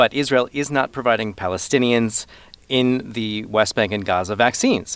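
With an unremarkable speaking voice, a man talks at a medium pitch and a moderate pace, his pitch variation ordinary. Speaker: foreign correspondent. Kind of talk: news report conversation.

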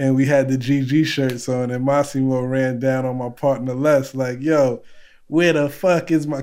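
A man speaks at a fairly slow pace in a medium pitch, his intonation flat and monotone. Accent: New York. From the Bronx, New York. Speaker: guest calling in, culinary collective co-founder. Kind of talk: casual, slangy.

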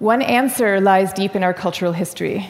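A woman with an unremarkable speaking voice talks fairly quickly at medium pitch, her pitch varying in an ordinary way. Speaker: author on introversion. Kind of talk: interview.

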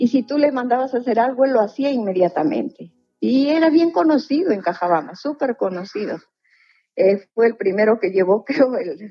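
A woman speaks at a moderate pace. Her pitch is high, with very wide swings. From northern Peru. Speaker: retired teacher, story subject. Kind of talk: interview storytelling.

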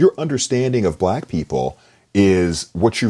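Very deep and low, a man's voice carries a dark, mellow tone and vocal fry, with very wide pitch swings. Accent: American. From US South. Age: 50s. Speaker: novelist and English professor. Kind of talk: interview.

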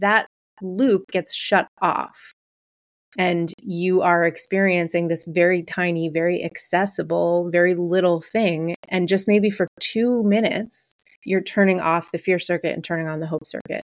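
A woman with a normal speaking voice, fairly low in pitch, at a fairly slow pace with fairly even intonation, in a dry, close sound with no echo. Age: 40s. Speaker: therapist. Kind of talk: casual chat.

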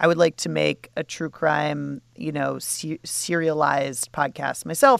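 Speaking at a fairly slow pace with hardly any pauses, a woman uses a very deep, low pitch with vocal fry and ordinary pitch variation, on a very clean recording with a silent background and a dry, close sound with no echo. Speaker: podcast host. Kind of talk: casual chat.

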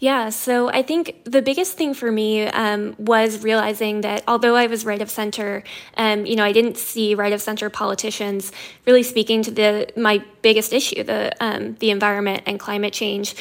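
In an unremarkable speaking voice, a woman talks at a moderate pace with a fairly high pitch and fairly even intonation. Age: 20s. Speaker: nonprofit communications director. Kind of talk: radio interview.

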